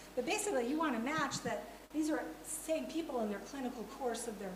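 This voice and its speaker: The speech moves at a fairly quick pace with lively intonation, with noticeable background noise and audible room echo. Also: woman. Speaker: academic conference speaker. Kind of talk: conference talk. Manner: fast.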